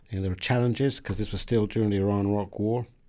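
A man's dark, mellow voice at a fairly low pitch, in a British accent, flat and monotone, on a very clean recording with a silent background. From southern England. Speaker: diplomat. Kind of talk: interview. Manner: halting.

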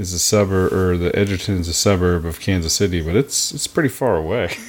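A man with an American accent has an unremarkable speaking voice and a fairly low pitch. He talks at a fairly quick pace. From Oklahoma. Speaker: podcast co-host. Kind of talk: casual chat. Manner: sarcastic, laughs often.

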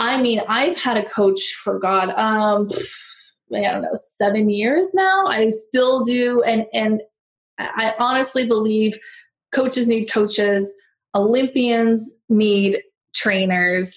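A woman's very slow, somewhat breathy speech with an American accent, fairly high in pitch, ordinary pitch variation and very even loudness. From US, San Diego. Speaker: negotiation coach. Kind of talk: podcast interview.

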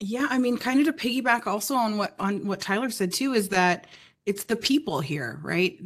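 A woman speaks with lively intonation in an unremarkable speaking voice. The recording is very clean, with a silent background. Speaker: sales account manager. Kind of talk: casual podcast interview. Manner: articulate, polished.

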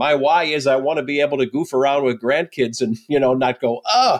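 Against a quiet background, a man with a plain, everyday voice speaks at a moderate pace and fairly high pitch, the sound dry and close with no echo. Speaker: podcast host. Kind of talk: interview.

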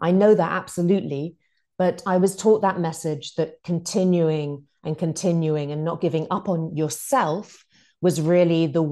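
Over a quiet background, a woman with a British accent talks at a moderate pace, her fairly low voice dark and mellow in tone with ordinary pitch variation. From UK. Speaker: author and former TV news producer. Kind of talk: interview.

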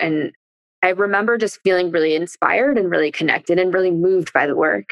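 With a Californian accent, a woman is heard in a dry, close sound with no echo. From East Bay Area, California. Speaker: former biology teacher, nonprofit co-founder. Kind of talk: casual chat.

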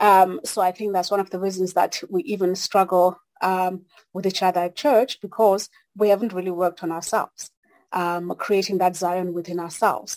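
A woman's medium-pitched voice with a South African accent and fairly even intonation, in a dry, close sound with no echo. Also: moderate pace. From South Africa (Xhosa). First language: Xhosa. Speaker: consultant, church member. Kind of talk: casual discussion. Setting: video call.

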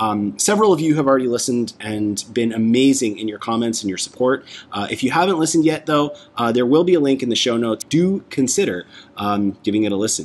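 With a Canadian accent and lively intonation, a man talks at a very fast pace and medium pitch over noticeable background noise. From Canada, Toronto. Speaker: podcast host. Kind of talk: casual chat.

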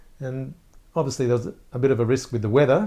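In an Australian accent, the speaker goes at a very fast pace with a dark, mellow tone and fairly even intonation. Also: man. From Australia, Gosford, New South Wales. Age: 50s. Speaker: media entrepreneur. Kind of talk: interview.

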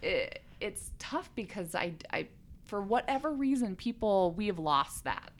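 Lively in intonation, a woman with an American accent uses a plain, everyday voice at a fairly high pitch and a fairly slow pace. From Colorado. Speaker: oil and gas industry policy advocate. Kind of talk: interview.

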